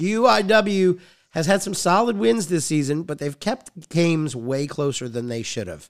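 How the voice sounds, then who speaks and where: Male voice in an American accent with very wide pitch swings at a moderate pace, in a very clean recording with a silent background. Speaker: sports podcast host and PA announcer. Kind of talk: casual sports chat. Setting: studio.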